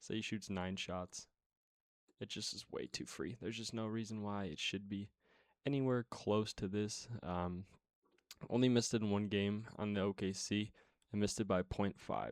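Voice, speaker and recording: A quiet man with fairly even intonation, dry and close with no echo, on a very clean recording with a silent background. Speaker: sports betting tipster. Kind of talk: casual sports picks talk.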